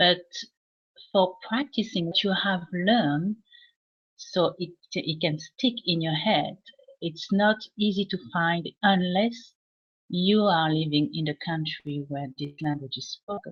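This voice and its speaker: Speaking with a French accent, a woman uses a somewhat breathy, fairly low voice with ordinary pitch variation, a fairly slow pace, and long, frequent pauses. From France. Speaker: English teacher. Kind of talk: casual live chat. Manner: halting, many fillers.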